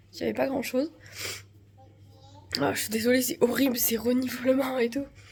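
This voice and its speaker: Over noticeable background noise, a woman speaks at a high pitch with fairly even intonation. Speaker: family vlogger. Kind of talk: casual vlog. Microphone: no microphone.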